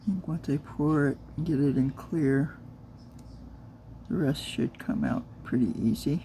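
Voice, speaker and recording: Soft-spoken and very deep in pitch, a woman talks at a fairly slow pace with lively intonation, big swings in loudness, and long, frequent pauses. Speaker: crafter and new video creator. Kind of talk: casual craft tutorial.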